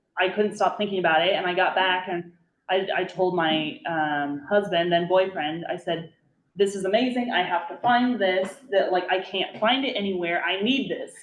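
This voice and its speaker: A woman with a Nebraska accent, medium pitch, ordinary pitch variation and a moderate pace. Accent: Midwestern American (Nebraska). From rural Nebraska. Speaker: brewery owner and attorney. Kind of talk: casual talk to a small group. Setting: library community meeting. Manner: many fillers, halting.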